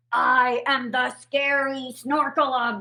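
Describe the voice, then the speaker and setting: A woman growls in a put-on character voice, high-pitched and at a very slow pace. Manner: snarling, menacing.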